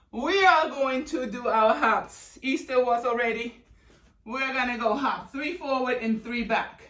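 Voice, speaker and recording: Noticeable background noise is present throughout. The words come at a fairly slow pace. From Germany. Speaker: fitness instructor. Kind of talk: live workout instruction. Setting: live video call from home studio. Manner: energetic, animated.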